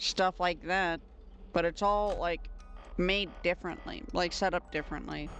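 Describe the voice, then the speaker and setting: A woman's medium-pitched voice over music in the background. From United States. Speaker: streamer. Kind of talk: casual chat. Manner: chatty, many fillers.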